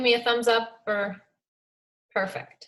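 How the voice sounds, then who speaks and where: Speaking in a Minnesotan accent, a woman has a fairly high pitch. Her pace is fairly slow and her intonation monotone and flat. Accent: Minnesota. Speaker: fitness coach. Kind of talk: talk on a team video call.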